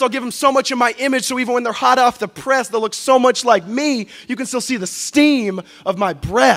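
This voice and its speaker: Music plays behind a man speaking at a fairly quick pace. His pitch is extremely high. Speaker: spoken word poet. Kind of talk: live spoken word poetry performance.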